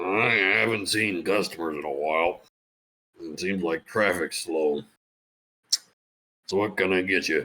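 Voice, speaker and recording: A man puts on a raspy character voice with a very deep, low pitch and ordinary pitch variation, keeping a moderate pace broken by long, frequent pauses. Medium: actual play. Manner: blunt, dryly humorous.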